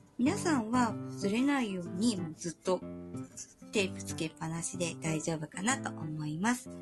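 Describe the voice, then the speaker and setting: Music plays in the background as a woman with a fairly low pitch speaks at a moderate pace, her pitch swinging very widely. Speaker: pastel art instructor. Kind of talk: art tutorial talk.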